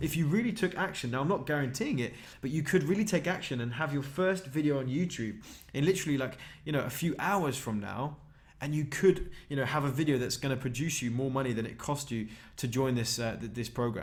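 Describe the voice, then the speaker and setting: Speaking at a very fast pace with a British accent, a man with a fairly high pitch sounds somewhat breathy, using ordinary pitch variation amid audible room echo. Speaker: online marketing trainer. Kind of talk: sales pitch. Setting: live webinar. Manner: animated.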